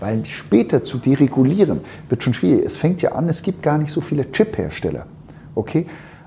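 Speaking at a moderate pace, a man has a fairly high pitch, a dark, mellow tone, and vocal fry. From Switzerland. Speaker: founder of an innovation consultancy. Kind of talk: interview. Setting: in person at his company office. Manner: halting, many fillers and repetitions.

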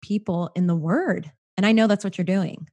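This woman's dark, mellow tone is somewhat breathy. Her pitch varies in an ordinary way, and the recording is dry and close with no echo. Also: quiet background. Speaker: podcast host. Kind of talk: casual interview chat.

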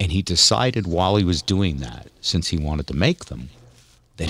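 A man with a very deep, low voice, a bright, sharp tone, some vocal fry and lively intonation. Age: 60s. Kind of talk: casual chat.

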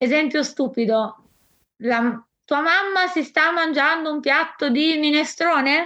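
A woman speaks in a raised, projected voice with a high pitch and a bright, sharp tone. She goes at a very slow pace with long, frequent pauses, and her pitch varies in an ordinary way. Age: 20s. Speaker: volunteer and patient with a rare illness. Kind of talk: interview testimony.

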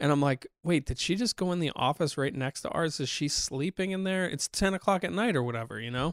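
In an unremarkable speaking voice, a man talks at a fairly quick pace with hardly any pauses, his fairly high pitch carried by lively intonation, in a dry, close sound with no echo on a very clean recording with a silent background. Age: 40s. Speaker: podcast co-host. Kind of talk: casual chat. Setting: studio.

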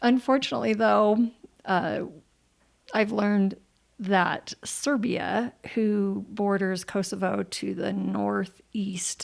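A woman talks very slowly at a medium pitch. Her pitch varies in an ordinary way. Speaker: radio show host. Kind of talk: interview. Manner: animated.

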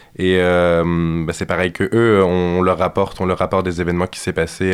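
A man speaks at a fairly quick pace in a very deep, low pitch. His intonation is monotone and flat. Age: young. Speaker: student activist. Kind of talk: radio interview.

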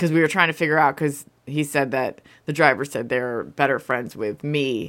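Recorded very cleanly against a silent background, a woman with a very deep, low pitch speaks at a moderate pace with ordinary pitch variation. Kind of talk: casual chat. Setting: studio.

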